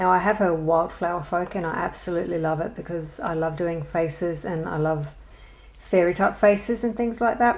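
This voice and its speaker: Noticeable background noise sits behind a woman with an Australian accent. Her pitch is fairly low and her pace moderate. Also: ordinary pitch variation. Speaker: adult colouring hobbyist. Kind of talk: casual talk to camera.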